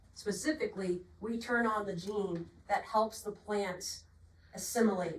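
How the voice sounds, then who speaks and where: A woman with a Boston accent, over noticeable background noise. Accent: Boston accent, non-rhotic. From Boston, Massachusetts. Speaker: agronomy product representative. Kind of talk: technical sales presentation.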